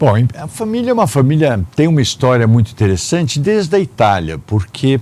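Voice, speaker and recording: A dark, mellow tone at a fairly quick pace with very wide pitch swings. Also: man, medium pitch for a man. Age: 60s. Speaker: family business heir and public administrator. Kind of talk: interview. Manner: halting with fillers.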